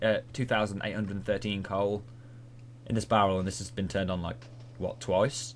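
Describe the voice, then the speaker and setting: With a British accent, a man speaks very fast in a fairly low voice. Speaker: gaming video creator. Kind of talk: gameplay commentary.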